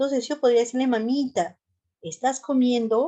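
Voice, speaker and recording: Speaking at a moderate pace with a Peruvian Central Highlands accent, a woman has a dark, mellow tone. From Peru, Central Highlands. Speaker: nurse and mental health lecturer. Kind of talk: lecture.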